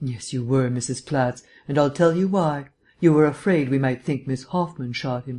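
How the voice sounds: This reading voice sounds natural, with pitch moving in an ordinary way.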